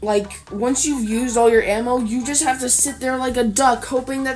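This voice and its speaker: A woman with a high voice speaks at a moderate pace amid noticeable background noise. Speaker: gaming video creator. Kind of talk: casual commentary video. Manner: improvised, with repetitions and fillers.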